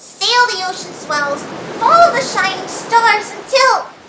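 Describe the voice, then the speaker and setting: An extremely high-pitched, put-on character voice is used. Delivery comes at a fairly slow pace. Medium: read story. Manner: bold, pirate-flavoured exclamations.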